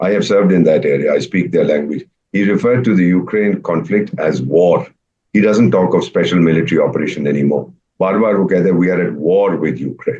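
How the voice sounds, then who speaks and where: A man with a dark, mellow tone talks fairly quickly. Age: 70s. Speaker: retired diplomat. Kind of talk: panel discussion. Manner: animated.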